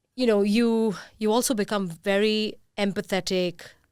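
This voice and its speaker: A woman with a normal speaking voice, fairly even intonation and a moderate pace, on a very clean recording with a silent background. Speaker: podcast host and company founder. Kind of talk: podcast interview.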